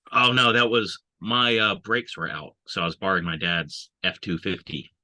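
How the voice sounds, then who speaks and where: This man's intonation is lively as he talks at a moderate pace. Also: dry, close sound with no echo. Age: 40s. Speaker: army veteran. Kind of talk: casual chat.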